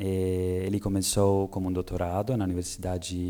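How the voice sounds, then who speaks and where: With an Italian accent, a man speaks at a fairly slow pace in a very deep, low pitch and a dark, mellow tone, in a very clean recording with a silent background. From Italy. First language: Italian (speaking Portuguese). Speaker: researcher. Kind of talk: lecture. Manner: halting with many hesitations.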